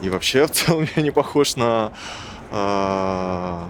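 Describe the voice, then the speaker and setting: A man talks at a fairly low pitch. His pitch varies in an ordinary way. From Buryatia, Ulan-Ude. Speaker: interviewee. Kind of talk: interview testimony.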